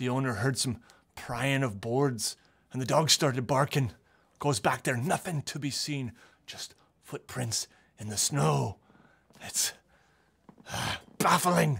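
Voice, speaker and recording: Using a put-on character voice at medium pitch, a man speaks at a fairly slow pace with long, frequent pauses. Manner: paranoid, rambling.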